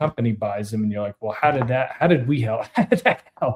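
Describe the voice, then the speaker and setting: A plain, everyday voice with ordinary pitch variation on a very clean recording with a silent background. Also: man. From Canada. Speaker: podcast host. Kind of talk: casual interview chat.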